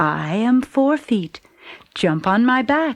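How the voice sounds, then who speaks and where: Using a put-on character voice, a woman speaks at a very slow pace with fairly high pitch. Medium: read story.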